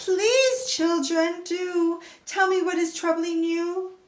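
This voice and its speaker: In a squeaky, put-on character voice, a woman speaks at an extremely high pitch and a very slow pace. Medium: read story.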